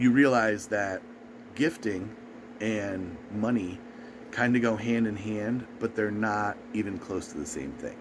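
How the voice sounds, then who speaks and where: Fairly slow speech in an American accent, with ordinary pitch variation and audible room echo. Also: man, fairly low pitch for a man. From US East Coast. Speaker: video blogger. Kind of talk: casual advice monologue.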